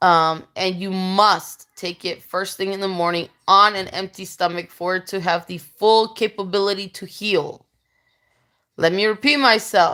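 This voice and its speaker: At a fairly slow pace, a woman talks in a medium pitch with a bright, sharp tone and fairly even intonation. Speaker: vlogger sharing home remedies. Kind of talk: casual talk to camera. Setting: home with children nearby. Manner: informal, chatty with fillers.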